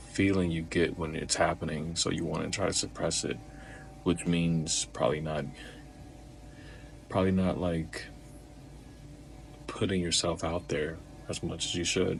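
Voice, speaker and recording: Quiet and at a very deep, low pitch, a man speaks at a moderate pace with fairly even intonation and long, frequent pauses. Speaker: vlogger. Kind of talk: personal talk to camera. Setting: alone, home recording. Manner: low, quiet voice.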